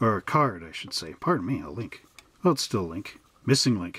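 Somewhat breathy, a man talks at a fairly quick pace with very wide pitch swings. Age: 40s. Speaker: hobby shop owner and model kit reviewer. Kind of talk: product review.

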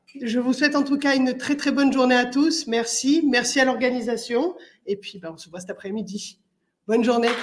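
A woman speaks at a high pitch and a fairly quick pace. Her loudness swings widely. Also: ordinary pitch variation. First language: French (speaking Italian). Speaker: municipal councillor. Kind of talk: welcome speech. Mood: warm, welcoming. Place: hall. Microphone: podium.

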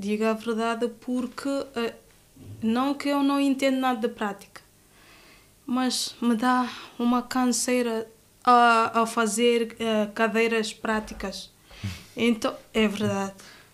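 At a very slow pace and a fairly high pitch, a woman speaks in a monotone, flat intonation broken by long, frequent pauses. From Guinea-Bissau, Bissau. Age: 20s. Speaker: law student. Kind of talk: interview.

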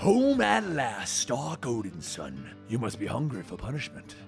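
This man does a put-on character voice at a medium pitch. Clear music can be heard in the background. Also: moderate pace. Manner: menacing.

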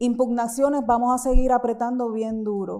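Against a quiet background, a woman speaks at a high pitch with a dark, mellow tone and monotone, flat intonation. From Puerto Rico, Caguas; Puerto Rico. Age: 50. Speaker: visual artist. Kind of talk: lecture. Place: hall.

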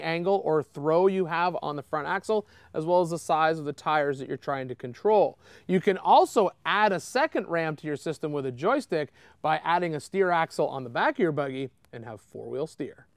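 This man has a high pitch and ordinary pitch variation, speaking at a moderate pace with a dry sound, no echo, and a quiet background. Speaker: shop host explaining parts. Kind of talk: tutorial. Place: garage.

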